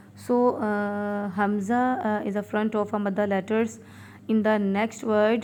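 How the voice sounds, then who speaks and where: In a Pakistani accent, a woman with a fairly high pitch speaks fairly slowly in a monotone, flat intonation. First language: Urdu. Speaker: Quran reading teacher. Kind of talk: tutorial. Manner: hesitant, many fillers; slow letter-by-letter spelling.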